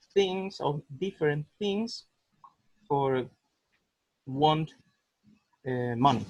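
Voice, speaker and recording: In a Spanish accent, a man speaks very slowly and somewhat breathily with lively intonation and long, frequent pauses, in a dry, close sound with no echo. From Costa Rica. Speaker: cancer survivor foundation worker. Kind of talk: webinar discussion. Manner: halting, hesitant.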